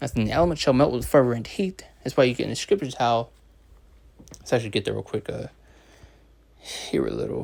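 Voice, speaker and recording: A man speaks at a fairly quick pace, broken by long, frequent pauses. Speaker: religious teacher. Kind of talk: scripture lesson. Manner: fast; hesitant, many fillers.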